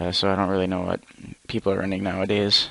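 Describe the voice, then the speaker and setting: Soft-spoken and fairly low-pitched, a man talks with monotone, flat intonation. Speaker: gaming YouTuber. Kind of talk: gameplay commentary. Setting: at home at night, parents asleep upstairs. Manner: quiet, soft-spoken; hesitant, many fillers.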